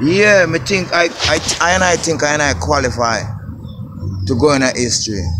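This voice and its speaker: With a Jamaican accent, a man speaks with very wide pitch swings and very even loudness over noticeable background noise. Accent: Jamaican patois. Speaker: construction worker vlogger. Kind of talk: casual vlog on building site. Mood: grateful, proud. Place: open country. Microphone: phone near.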